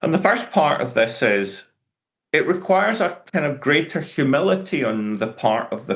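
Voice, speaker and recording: A man talks at a moderate pace with a Glaswegian accent. His pitch swings very widely. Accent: Glaswegian Scottish. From Scotland, Glasgow. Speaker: professor. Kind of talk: conference lecture.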